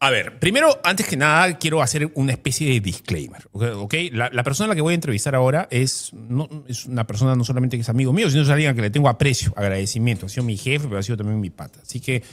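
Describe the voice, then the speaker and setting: At a medium pitch, a man talks at a very fast pace with hardly any pauses and lively intonation. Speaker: interviewer. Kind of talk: interview.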